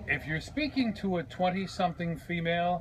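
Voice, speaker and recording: Against light background noise, a man speaks with a high pitch. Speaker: radio host. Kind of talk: radio show banter. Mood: exasperated, joking. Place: street. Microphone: phone near.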